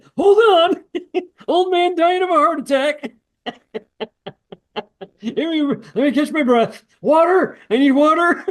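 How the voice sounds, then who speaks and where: In a put-on character voice, a man speaks at a fairly slow pace with an extremely high pitch. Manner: panting, mock desperate.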